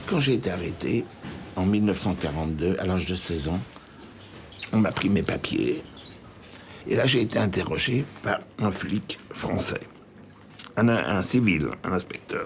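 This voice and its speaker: Noticeable background noise fills the recording. A man speaks fairly slowly, with long, frequent pauses. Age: 80s+. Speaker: Holocaust survivor. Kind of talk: testimony.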